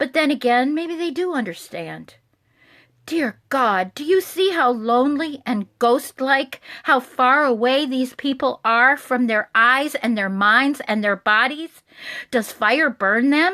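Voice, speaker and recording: Over a quiet background, a woman uses a raised, projected voice with a bright, sharp tone and high pitch. She speaks at a fairly slow pace. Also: lively intonation. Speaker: religious advocacy director. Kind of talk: poetry reading.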